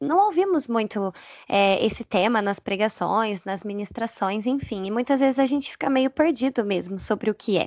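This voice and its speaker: In a plain, everyday voice, a woman with a fairly high pitch speaks at a moderate pace with lively intonation, the sound dry and close with no echo against a quiet background. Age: 20s. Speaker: educational psychologist and church youth leader. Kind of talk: casual chat.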